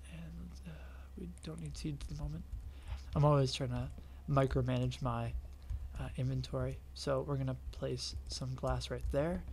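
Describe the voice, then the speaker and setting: Quiet and monotone, a man speaks at a fairly slow pace in a very deep, low pitch with vocal fry, the flat delivery carrying audible room echo. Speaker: gaming youtuber. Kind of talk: tutorial. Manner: quiet, hushed.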